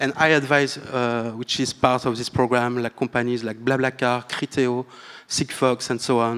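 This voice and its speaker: With a French accent, a man speaks at a medium pitch in a monotone, flat intonation. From France. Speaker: tech partnerships manager, panelist. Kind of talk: panel discussion. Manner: halting, many fillers.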